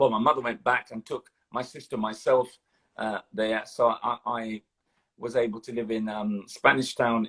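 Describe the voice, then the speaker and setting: In a dry, close sound with no echo, a man speaks at a medium pitch with monotone, flat intonation. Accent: London. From London. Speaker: retired police officer. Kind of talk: interview. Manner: halting.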